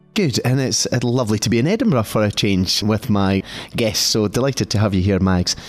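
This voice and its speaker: A man talks at a fairly quick pace in a fairly low pitch. His loudness stays very even, with music playing in the background. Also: ordinary pitch variation. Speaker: podcast interviewer. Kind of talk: interview.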